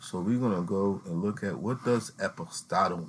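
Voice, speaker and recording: An ordinary speaking voice from a man carries lively intonation at a moderate pace, on a very clean recording with a silent background. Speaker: youtuber explaining legal theory. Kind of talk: informal tutorial reading from a document. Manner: casual, repeats filler phrases.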